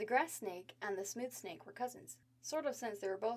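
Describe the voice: What we hear is plain reading aloud.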